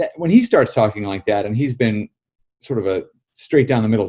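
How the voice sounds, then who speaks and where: A very fast, somewhat breathy man's voice at medium pitch, dark and mellow in tone, with an American accent. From United States. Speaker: political journalist and author. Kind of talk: interview.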